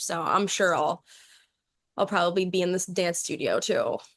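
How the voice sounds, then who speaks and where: The speaker has an ordinary speaking voice with an American accent. The background is quiet. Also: woman. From New York City. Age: young. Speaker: singer and dancer. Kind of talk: interview answer.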